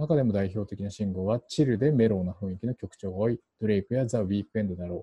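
A man with a Japanese accent talks very fast in a fairly low voice. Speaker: podcast host. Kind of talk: casual chat. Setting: home recording.

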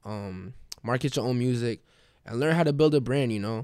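A man talks at a fairly quick pace in a New York accent. The recording is very clean, with a silent background. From Queens, New York. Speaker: musician. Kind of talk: interview.

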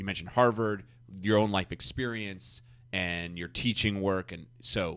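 A man's normal speaking voice with a fairly low pitch, ordinary pitch variation and big swings in loudness, at a moderate pace over a quiet background. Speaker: podcast host. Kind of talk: interview conversation. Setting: conference room.

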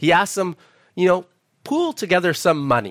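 A man's fairly quick speech with a Canadian accent and very wide pitch swings, dry and close with no echo. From Canada, Alberta (Edmonton). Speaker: preacher. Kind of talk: sermon. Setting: church.

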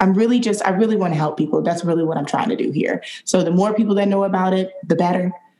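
Noticeable background noise sits behind a woman talking very fast with hardly any pauses. Her pitch is medium and her intonation fairly even. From Detroit, Michigan. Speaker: wellness app founder. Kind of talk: casual interview.

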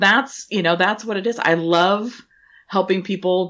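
At a moderate pace, a woman speaks in a plain, everyday voice with a fairly low pitch and ordinary pitch variation. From Washington State, US. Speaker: event planner and business owner. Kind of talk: podcast interview.

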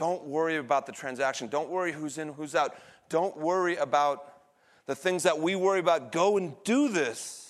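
This man has a plain, everyday voice, fairly high in pitch with ordinary pitch variation. He talks at a moderate pace against a quiet background. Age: 40s. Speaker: pastor. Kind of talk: sermon. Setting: church.

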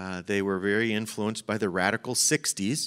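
Recorded very cleanly against a silent background, with a dry, close sound and no echo, a man speaks in an unremarkable speaking voice at a moderate pace, his pitch fairly low with ordinary variation. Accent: American. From Chicago. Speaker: pastor. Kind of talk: sermon. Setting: church.

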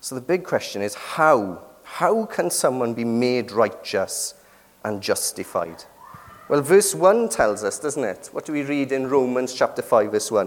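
A man speaks in a British accent. His pace is fairly slow. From Britain. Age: 30s. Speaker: preacher. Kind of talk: sermon.

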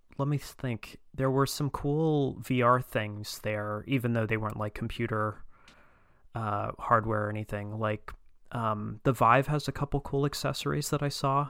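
A normal speaking voice goes fairly slowly, its intonation fairly even. Behind it the background is silent, and the recording very clean. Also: man. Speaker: guest. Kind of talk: casual chat.

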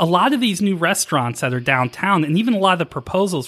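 In a very clean recording with a silent background, the voice races at a very fast pace, bright and sharp in tone, with very wide pitch swings and a dry, close sound free of echo. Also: man. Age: 40s. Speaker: local politics podcast host. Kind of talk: casual chat.

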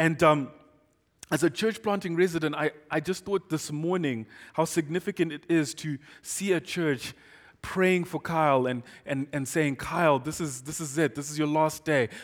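A man speaks with a fairly high pitch at a moderate pace. The recording is very clean, with a silent background. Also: ordinary pitch variation. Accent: Zimbabwean. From Zimbabwe. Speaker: guest pastor. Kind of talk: sermon. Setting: church. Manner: excitable; loud and expressive.

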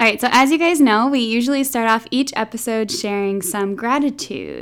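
A woman with a plain, everyday voice: fairly high pitch, ordinary pitch variation, moderate speed. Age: 20s. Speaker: podcast host. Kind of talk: casual chat.

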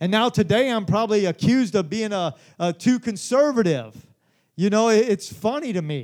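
A man talks at a fairly quick pace in an animated tone. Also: very clean recording, silent background. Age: 40s. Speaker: pastor. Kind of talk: sermon. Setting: church.

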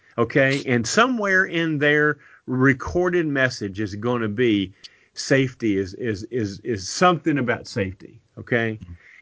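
Speaking in a Kentucky accent, a man at medium pitch moves at a fairly slow pace through very wide pitch swings. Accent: Kentucky Southern US. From Kentucky, Lexington. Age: 60s. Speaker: podcast co-host. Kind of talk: casual chat.

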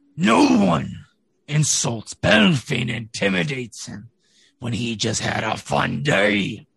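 Using a raspy put-on character voice, a man speaks at a medium pitch and a fairly slow pace. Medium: actual play. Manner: gruff, threatening.

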